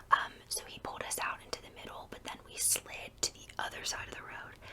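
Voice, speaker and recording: A woman whispering at a moderate pace, with noticeable background noise. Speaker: ASMR creator. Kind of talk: whispered ASMR storytime. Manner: whispered; chatty, rambling.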